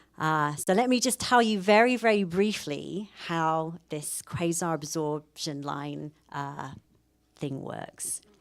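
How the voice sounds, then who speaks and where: A woman with a British accent speaks at a very slow pace in a fairly low pitch, her loudness swinging widely. Her intonation is lively, and the recording is very clean with a silent background. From UK. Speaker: professor. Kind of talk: public lecture.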